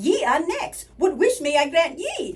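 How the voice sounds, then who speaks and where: At a fairly slow pace, a woman performs a put-on character voice pitched extremely high. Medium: read story. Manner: folksy, twinkly.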